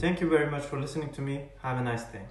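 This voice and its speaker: Audible room echo surrounds speech with fairly even intonation. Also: man. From Turkey. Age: 20s. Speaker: college student. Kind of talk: personal testimony to camera. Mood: earnest, serious. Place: home room. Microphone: earbuds.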